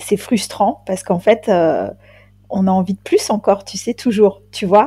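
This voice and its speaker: A woman with a dark, mellow tone and a somewhat breathy voice speaks fairly slowly at a medium pitch with fairly even intonation. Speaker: ghost hunter, undertaker. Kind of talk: casual chat.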